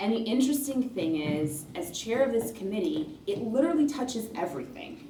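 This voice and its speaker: Against noticeable background noise, a woman with an American accent speaks at a moderate pace, her fairly high pitch swinging very widely. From Rochester, New York, USA. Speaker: politician, state senator. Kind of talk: campaign speech to union members.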